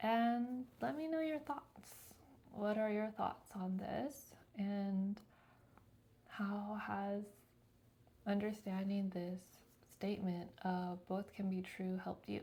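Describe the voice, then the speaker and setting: A soft-spoken woman uses a medium pitch at a very slow pace. Her speech has long, frequent pauses. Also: ordinary pitch variation. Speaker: lifestyle vlogger. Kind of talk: reflective monologue to camera. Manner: casual.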